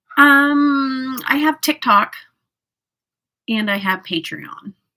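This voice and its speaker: A raised, projected voice with an American accent and a bright, sharp tone speaks at a very slow pace on a very clean recording with a silent background. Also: woman, high pitch for a woman, lively intonation. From US South. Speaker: makeup livestreamer. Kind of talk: casual livestream chat with makeup tutorial. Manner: chatty, filler-heavy.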